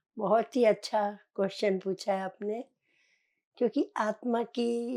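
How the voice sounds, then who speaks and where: The woman's voice has a dark, mellow tone and monotone, flat intonation in a very clean recording with a silent background. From central India, Chhindwara district, Madhya Pradesh. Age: 70s. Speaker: meditation practitioner. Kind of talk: life story interview.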